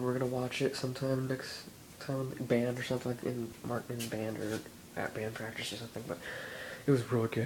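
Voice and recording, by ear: A man talks at a fairly quick pace and a medium pitch, his tone slightly mellow and his pitch moving little.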